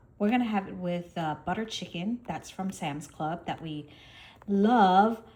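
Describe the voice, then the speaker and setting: A woman's somewhat breathy, medium-pitched voice at a fairly slow pace, with ordinary pitch variation. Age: 50s. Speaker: lifestyle vlogger. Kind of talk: casual vlog chat.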